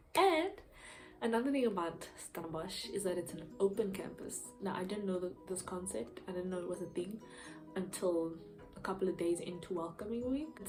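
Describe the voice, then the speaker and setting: A woman speaks at a medium pitch and a moderate pace, her tone animated. Her pitch varies an ordinary amount, with music playing in the background. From Eastern Cape, South Africa. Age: young. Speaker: university student, YouTuber. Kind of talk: casual talk to camera. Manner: chatty, animated.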